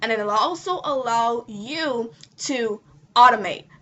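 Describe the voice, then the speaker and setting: Her voice is an unremarkable speaking voice, set at a fairly high pitch for a woman. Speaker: online marketing coach. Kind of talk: tutorial.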